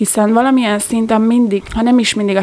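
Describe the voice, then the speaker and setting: A woman's medium-pitched voice at a fairly quick pace, monotone, with flat intonation. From Hungary, Gödöllő. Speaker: handball player. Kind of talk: interview.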